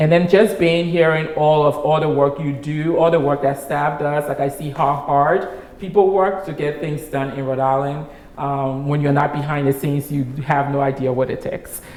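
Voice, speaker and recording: Amid noticeable background noise and audible room echo, a woman speaks in a very deep, low pitch at a moderate pace with fairly even intonation. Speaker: nonprofit executive director. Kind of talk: interview conversation.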